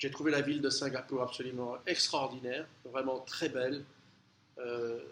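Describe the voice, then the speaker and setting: A man talks at a fairly slow pace. His intonation stays monotone and flat. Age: 60s. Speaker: travel vlogger. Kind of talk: casual travel monologue. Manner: halting, many hesitations.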